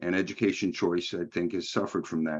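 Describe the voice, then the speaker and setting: A man speaks in a New York accent. The background is quiet. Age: old. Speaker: think tank president. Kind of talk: lecture.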